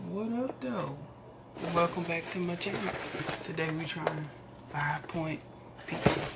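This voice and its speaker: A man at a moderate pace with ordinary pitch variation, amid loud background noise. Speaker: vlogger. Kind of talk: casual vlog chat.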